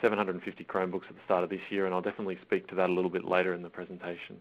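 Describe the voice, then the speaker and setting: A man's very deep, low voice in an Australian accent, monotone and flat, at a very fast pace. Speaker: school IT systems manager. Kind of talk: webinar presentation. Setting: online webinar call. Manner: halting, many fillers.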